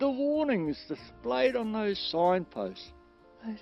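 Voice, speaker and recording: Over music in the background, a man with a high voice talks very slowly, his pitch swinging very widely. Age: 70s. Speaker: poet. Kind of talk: poetry reading.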